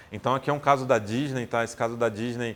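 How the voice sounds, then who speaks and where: At a medium pitch, a man talks at a very fast pace. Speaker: designer speaking on health user experience. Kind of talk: recorded tech talk. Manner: hesitant, many repetitions.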